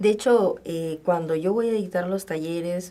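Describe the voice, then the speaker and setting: Fairly even intonation from a woman at medium pitch, at a very slow pace. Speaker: communication lecturer and workshop trainer. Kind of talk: radio interview.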